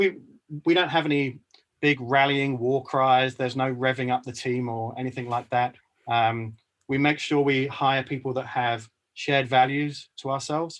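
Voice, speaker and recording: A man's normal speaking voice at medium pitch, with fairly even intonation and a moderate pace. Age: 40s. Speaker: company CEO. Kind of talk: interview.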